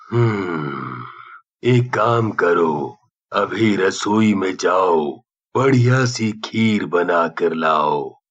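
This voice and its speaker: A man does a cartoonish character voice with a fairly low pitch and lively intonation. He speaks at a very slow pace with very even loudness. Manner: grave, authoritative.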